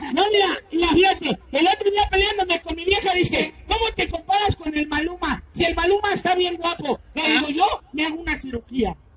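A man puts on a character voice with an extremely high pitch. He talks at a fairly quick pace. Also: hardly any pauses. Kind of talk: comic overacting. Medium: stage play. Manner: loud, cocky, teasing.

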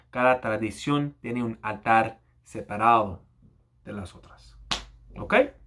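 Bright and sharp in tone, a man speaks very slowly with long, frequent pauses and big swings in loudness. Light background noise can be heard. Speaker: YouTuber. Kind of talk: angry rant. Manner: animated, exasperated, impatient; halting, code-switching between Spanish and English. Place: home room. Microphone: webcam.

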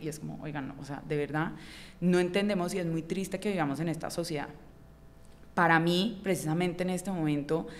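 At a fairly quick pace, a woman with a fairly low pitch and fairly even intonation speaks in an unremarkable speaking voice. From Colombia, Cali. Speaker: writer and illustrator; podcast guest. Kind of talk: interview conversation. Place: studio. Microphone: studio mic.

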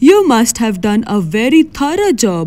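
This is an unforced reading voice. It carries the text along.

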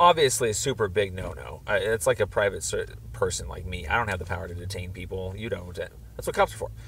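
The speech moves at a very fast pace. The sound is dry with no echo, and there is light background noise. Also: man. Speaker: caller. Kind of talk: phone conversation, complaint explanation. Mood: earnest, somewhat frustrated.

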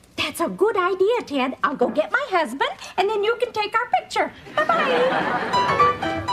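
A woman talks fairly slowly while clear music sounds behind her. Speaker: sitcom actress playing a proud mother. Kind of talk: scripted sitcom dialogue. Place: stage.

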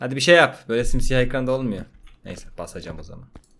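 A man speaks at a fairly high pitch. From Turkey. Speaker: gaming youtuber. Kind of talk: let's play commentary. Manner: animated. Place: home room. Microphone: studio mic.

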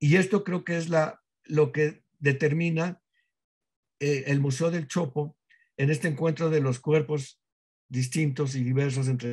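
The speaker sounds somewhat breathy and talks at a fairly slow pace with long, frequent pauses and ordinary pitch variation, over a quiet background. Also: man. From Mexico. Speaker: museum director; guest. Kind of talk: interview conversation. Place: home room. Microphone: webcam.

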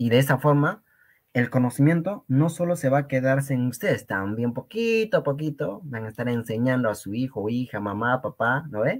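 A man at a moderate pace with lively intonation, over a quiet background. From Peru, Cusco region (rural Quechua community). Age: young. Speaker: Quechua language teacher. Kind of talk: lecture. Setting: live stream. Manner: animated.

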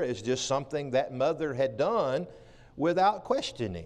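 A man's moderately paced speech. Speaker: preacher. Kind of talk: sermon. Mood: warm, anecdotal. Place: church.

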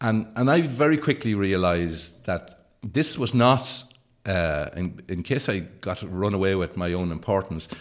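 A man talks with an Irish accent at a fairly slow pace, his pitch fairly low. His intonation is lively, and the background is quiet. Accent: Irish (Leitrim). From County Leitrim, rural Ireland. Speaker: actor, writer; actor. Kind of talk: interview answer. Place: studio. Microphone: studio mic.

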